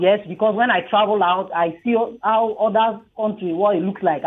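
With a Nigerian accent, a woman talks at a fairly quick pace, her medium pitch showing ordinary variation. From southern Nigeria. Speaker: radio caller, mother; radio guest. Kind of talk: radio call-in opinion. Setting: phone call. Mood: earnest, warm. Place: studio.

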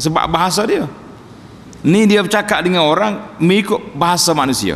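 A man talks at a moderate pace with ordinary pitch variation while light background noise plays behind him. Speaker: religious teacher. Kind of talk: sermon. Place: church. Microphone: podium.

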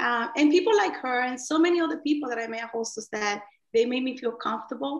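A woman's fairly high-pitched voice at a fast pace, with ordinary pitch variation

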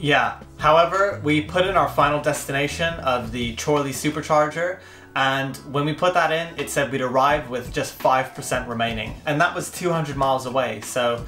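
Against faint background music and audible room echo, a man speaks at a fairly quick pace with ordinary pitch variation. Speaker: co-host of a car channel. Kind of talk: casual review talk. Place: home room.

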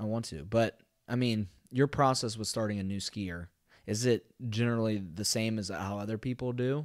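With an American accent, a man speaks in an unremarkable speaking voice at fairly low pitch. His pace is moderate and his pitch variation ordinary, on a very clean recording with a silent background. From Ohio. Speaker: doctoral student. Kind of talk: casual chat.

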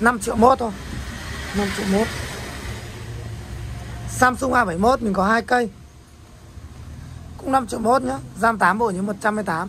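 Fairly slow delivery with long, frequent pauses over light background noise. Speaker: phone seller. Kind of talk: product showcase commentary. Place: shop. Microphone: camera far.

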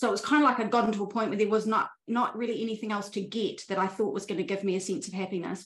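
A woman talks at a very fast pace with fairly even intonation. Room echo is audible over a quiet background. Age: 40s. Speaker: spiritual life coach. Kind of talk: interview conversation. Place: home room. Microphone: video call.

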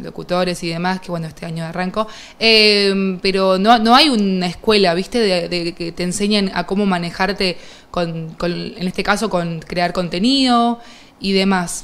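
Fairly even intonation from a woman speaking at a moderate speed. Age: 30s. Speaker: streamer, interviewer. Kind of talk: interview, casual chat. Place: studio.

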